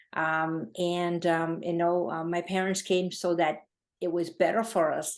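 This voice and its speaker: A woman with a Gujarati accent, fairly low-pitched and fairly slow. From India (Gujarat), moved to New England at 12. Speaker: charity founder. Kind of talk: interview. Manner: halting, many fillers.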